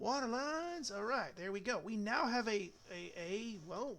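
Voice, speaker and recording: The speaker has an Alabama accent. The pace is fairly slow. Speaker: gaming streamer, firefighter. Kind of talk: casual gameplay commentary. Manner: halting, repeats words.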